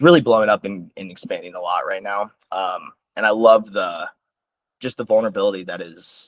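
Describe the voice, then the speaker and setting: Talking at a fairly quick pace, a man has an American accent. His loudness swings widely. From US Midwest, Sioux Falls, South Dakota. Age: 20s. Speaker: musician. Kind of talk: interview. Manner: casual, hesitant with fillers.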